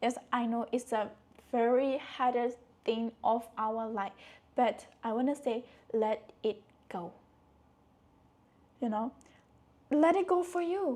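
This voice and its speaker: Soft-spoken and high-pitched, a woman with a dark, mellow tone talks very slowly with lively intonation and long, frequent pauses. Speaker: motivational speaker. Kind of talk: casual talk to camera.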